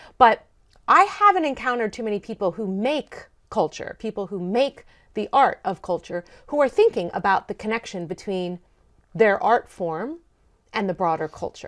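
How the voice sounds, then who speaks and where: In a very clean recording with a silent background and a dry, close sound with no echo, a woman speaks in a normal speaking voice with an American accent, a fairly high pitch, lively intonation and a moderate pace. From Maryland, US. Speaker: sociology professor. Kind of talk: interview conversation.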